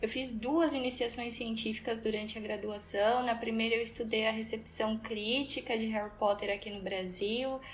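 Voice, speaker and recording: A woman speaks at a fairly high pitch with fairly even intonation, and audible room echo surrounds her voice. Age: 20s. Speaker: literature teacher and researcher. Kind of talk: interview.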